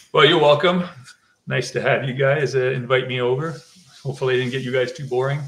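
A man talks at a very fast pace with fairly even intonation. Long pauses break up his speech often. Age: 50s. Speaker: fish breeder; guest. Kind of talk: casual chat. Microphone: video call.

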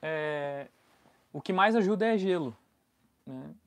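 The voice is a man's. Its pitch rises and falls in an ordinary way. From Brazil. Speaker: travel vlogger. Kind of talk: live stream chat. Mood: relaxed, friendly. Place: home room. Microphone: lapel.

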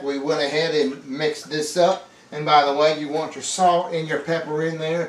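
Amid light background noise and audible room echo, a man talks at a moderate pace with fairly even intonation. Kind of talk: cooking tutorial. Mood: jokey, relaxed. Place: kitchen.

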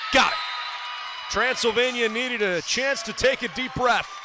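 A man's raised, projected voice at a moderate pace, animated and excited, with noticeable background noise. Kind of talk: live sports commentary. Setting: arena, broadcast booth. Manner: animated, excited at big points.

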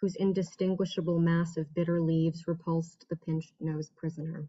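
A woman with a fairly low, somewhat breathy voice speaks in a monotone, flat intonation at a moderate pace against a quiet background. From New York City. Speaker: poet. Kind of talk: poetry reading. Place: home room. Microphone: webcam.

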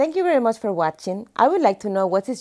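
Against a quiet background, a woman with a Spanish accent speaks at a fairly quick pace in a dark, mellow tone with very wide pitch swings. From Panama. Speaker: motorsport event organizer. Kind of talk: promotional video presentation. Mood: warm, friendly. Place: studio. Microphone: lapel.

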